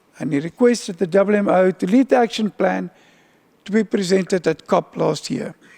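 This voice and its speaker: A man's high-pitched voice with a dark, mellow tone, moderate pace and ordinary pitch variation, in a dry, close sound with no echo. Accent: South African. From South Africa. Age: old. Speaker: UN agency official. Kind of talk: keynote speech.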